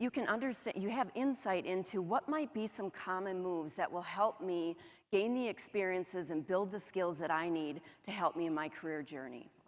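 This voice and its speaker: On a very clean recording with a silent background, a woman with a northern US accent speaks at a medium pitch and a moderate pace. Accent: northern US, flat O's and long A's. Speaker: HR director. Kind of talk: conference presentation.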